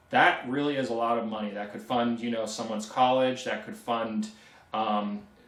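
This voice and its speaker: Over noticeable background noise, a man with an American accent speaks at a moderate pace and medium pitch with fairly even intonation. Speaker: antenna tech YouTuber. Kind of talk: live stream Q&A. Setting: live stream. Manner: hesitant, many ums.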